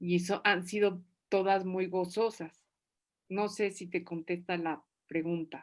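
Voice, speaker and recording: A woman speaks at a fairly slow pace and a medium pitch. The recording is very clean, with a silent background. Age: 60s. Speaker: novelist. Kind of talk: writing workshop Q&A. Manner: animated.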